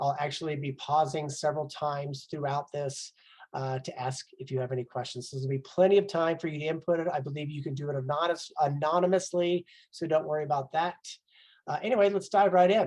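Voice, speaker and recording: Somewhat breathy, a man talks at a very fast pace with a fairly high pitch and ordinary pitch variation. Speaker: life coach. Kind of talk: webinar presentation.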